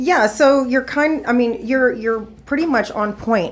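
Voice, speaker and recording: At a moderate pace, a woman with a plain, everyday voice talks with lively intonation. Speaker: podcast guest. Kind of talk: casual interview conversation.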